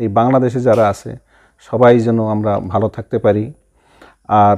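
A man's medium-pitched voice, dark and mellow in tone, with monotone, flat intonation over a quiet background. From Bangladesh, Rangpur district; Bangladesh. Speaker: police officer; interviewee. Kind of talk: interview. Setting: studio. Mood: earnest, concerned. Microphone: lapel.

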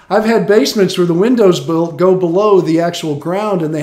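Audible room echo surrounds a man with a high pitch, though the background stays quiet. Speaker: home improvement radio host. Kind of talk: advice commentary. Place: home room. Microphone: webcam.

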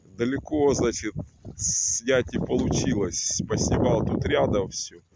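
Loud background noise behind a male voice, the sound dry and free of echo. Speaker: video blogger. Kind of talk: casual vlog chat. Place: waterside. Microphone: phone near.

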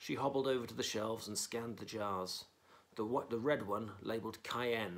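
Reading done in an unforced voice

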